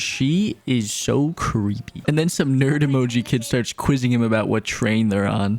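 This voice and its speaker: A man speaks at medium pitch. He keeps a moderate pace. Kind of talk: comedic movie recap narration. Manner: casual, joking.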